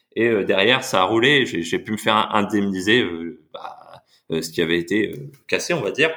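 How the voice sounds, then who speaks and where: A man speaks in a plain, everyday voice at a fairly low pitch. His pace is moderate. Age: 20s. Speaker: investor and part-time travel planner. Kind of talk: casual chat. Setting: podcast recording.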